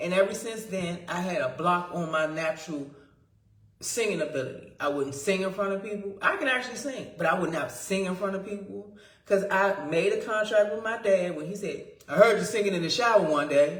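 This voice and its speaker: An animated, fairly quick delivery with ordinary pitch variation, audible room echo, and noticeable background noise. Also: woman, medium pitch for a woman. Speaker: spiritual vlogger. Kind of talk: casual monologue. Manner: loud.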